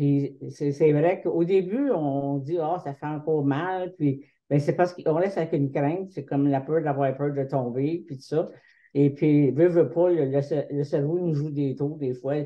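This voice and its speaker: A woman speaks at a fairly slow pace in a very deep, low voice, her intonation fairly even. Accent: Quebec. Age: 70s. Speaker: patient partner. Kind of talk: testimony. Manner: halting.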